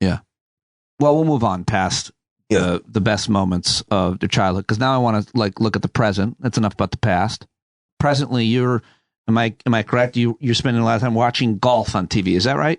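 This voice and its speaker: Using a plain, everyday voice, a man speaks at a medium pitch and fairly quick pace with ordinary pitch variation and very even loudness, in a dry, close sound with no echo and a quiet background. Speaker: podcast host. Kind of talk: casual conversation with father.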